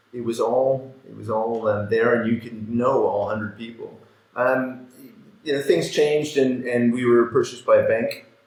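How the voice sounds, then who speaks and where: At a moderate pace, a man with a Canadian accent speaks at a medium pitch in a monotone, flat intonation, with audible room echo. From Canada. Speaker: fund manager. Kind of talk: podcast interview.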